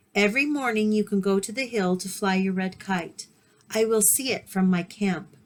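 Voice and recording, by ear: Reading aloud in a natural voice, nothing more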